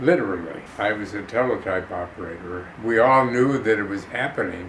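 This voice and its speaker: A man in a Chicago accent at a fairly slow pace, amid audible room echo and noticeable background noise. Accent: Chicago American. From Chicago, US Midwest. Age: 90s. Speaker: actor and war veteran. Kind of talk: interview testimony. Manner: halting.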